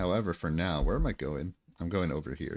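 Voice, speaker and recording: An American accent marks a man's very deep, low voice with vocal fry, ordinary pitch variation and a moderate pace, in a very clean recording with a silent background. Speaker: gaming streamer. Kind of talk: casual livestream chat.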